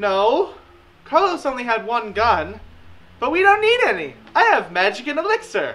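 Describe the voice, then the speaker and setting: This put-on character voice sits high in pitch and is broken by long, frequent pauses. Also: moderate pace. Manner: airy, offhand, unbothered.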